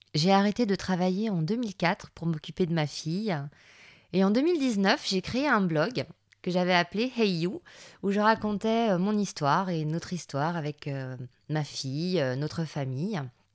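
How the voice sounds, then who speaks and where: On a very clean recording with a silent background, a woman talks fairly slowly at a medium pitch with lively intonation. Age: 40s. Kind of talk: casual monologue. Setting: home recording in son's music room. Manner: hesitant, with filler words.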